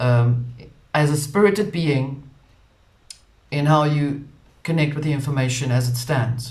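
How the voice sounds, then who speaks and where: A man with a South African accent and a fairly high, somewhat breathy voice, at a fairly slow pace with long, frequent pauses, ordinary pitch variation and audible room echo. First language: Afrikaans. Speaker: spiritual channel host. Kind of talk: casual monologue.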